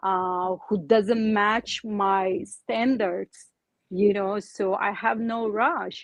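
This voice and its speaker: A woman with a non-native accent speaks at a very slow pace, with a medium pitch and ordinary pitch variation. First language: not English. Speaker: divorced woman panelist. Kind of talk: panel interview. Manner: halting, stammering.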